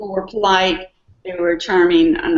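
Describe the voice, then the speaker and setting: Speaking at a moderate pace, a woman uses a medium pitch and lively intonation. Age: 60s. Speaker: market research consultant. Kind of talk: casual chat. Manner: hesitant, many fillers.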